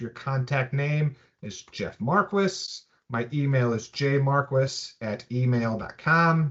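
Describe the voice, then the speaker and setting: A man speaks with an American accent. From US Midwest, Chicago area. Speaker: software trainer. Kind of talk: webinar tutorial. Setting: webinar. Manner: halting, many fillers.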